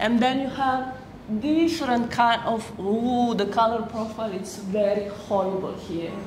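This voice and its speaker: Speaking at a fairly slow pace, a woman uses a fairly high pitch with ordinary pitch variation. Noticeable background noise and audible room echo fill the recording. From Slovenia. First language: Slovenian. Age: 40s. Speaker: photographer. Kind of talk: public talk.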